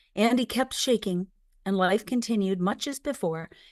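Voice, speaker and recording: In a very clean, silent-background recording with a dry, close sound and no echo, a woman with an unremarkable speaking voice talks at a fairly quick pace and medium pitch with ordinary pitch variation. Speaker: memoir author narrating her own book. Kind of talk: audiobook-style memoir narration.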